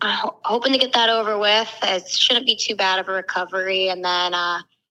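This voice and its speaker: Loud and at a fairly quick pace, a woman speaks in an American accent with fairly even intonation. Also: medium pitch for a woman. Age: 20s. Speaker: accident survivor and incoming law student. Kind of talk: interview conversation. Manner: fast.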